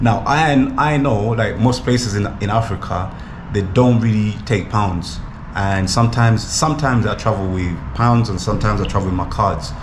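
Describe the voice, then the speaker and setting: Man's fairly low voice, ordinary pitch variation, moderate pace, audible room echo and noticeable background noise. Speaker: travel vlogger. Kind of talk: casual vlog to camera. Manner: mumbling.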